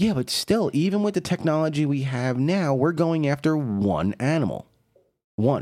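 A man with an unremarkable speaking voice and a fairly high pitch talks at a moderate pace with lively intonation, recorded very cleanly against a silent background. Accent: American. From New York City. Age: 40s. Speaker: podcast host. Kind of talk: casual chat.

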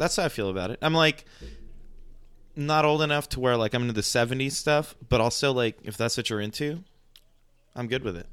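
Very clean recording with a silent background: a man at medium pitch, ordinary pitch variation, a fairly quick pace and long, frequent pauses. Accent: American. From Mexico City, partly raised in the US. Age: 30s. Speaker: rock musician. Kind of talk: casual chat.

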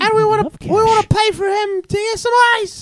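Putting on a character voice, a woman speaks at a moderate pace in an extremely high, squeaky pitch, with monotone, flat intonation and a playful tone. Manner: playful mimicry.

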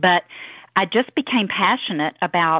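A fairly low-pitched woman's voice at a moderate pace, with a Southern US accent. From US South. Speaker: network marketing leader. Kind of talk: team call presentation. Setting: phone call.

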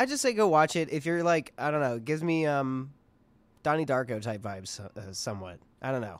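Lively intonation marks this man's fairly high-pitched delivery, an ordinary speaking voice heard in a very clean recording with a silent background. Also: fairly quick pace. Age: 20s. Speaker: podcast co-host. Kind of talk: casual chat.

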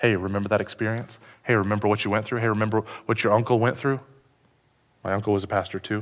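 On a very clean recording with a silent background, a man speaks very fast yet with long, frequent pauses, his fairly low pitch held in a monotone, flat intonation. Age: 30s. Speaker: pastor. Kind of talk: sermon. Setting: church with congregation.

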